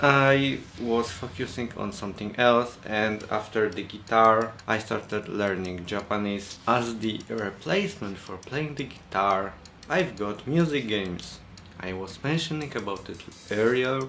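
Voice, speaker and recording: Bright, sharp tone at a fairly slow pace, with ordinary pitch variation and audible room echo. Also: man, medium pitch for a man. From Poland. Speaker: vlogger. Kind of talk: vlog monologue.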